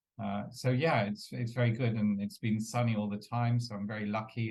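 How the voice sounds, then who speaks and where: Fairly quick and monotone, a man with a fairly low pitch speaks with flat intonation. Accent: London. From England, East London. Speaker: entrepreneur and business coach. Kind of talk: interview. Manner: hesitant, many fillers.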